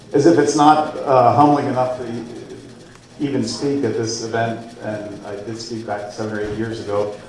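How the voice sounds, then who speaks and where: Amid noticeable background noise and audible room echo, a man with an American accent speaks at a moderate pace and medium pitch, with fairly even intonation, big swings in loudness, and long, frequent pauses. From central Pennsylvania. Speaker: guest speaker. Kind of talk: after-dinner speech. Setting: banquet room with audience.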